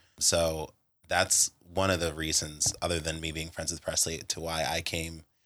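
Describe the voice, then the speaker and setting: With an American accent, a bright, sharp tone comes through at a moderate pace in a very clean recording with a silent background. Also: man. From Pittsburgh, Pennsylvania. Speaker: fitness instructor. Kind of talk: casual interview.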